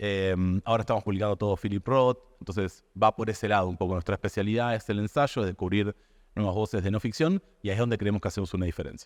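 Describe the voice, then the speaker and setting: Very fast talk from a man with an Argentine accent, fairly low in pitch, with ordinary pitch variation, a dry, close sound with no echo, and a quiet background. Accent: Rioplatense Argentine Spanish. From Argentina. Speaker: publisher.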